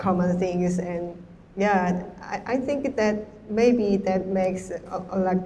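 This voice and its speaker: A woman with a Korean accent, medium in pitch, at a very slow pace amid audible room echo. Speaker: artist and hair stylist. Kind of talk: panel discussion Q&A. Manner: halting.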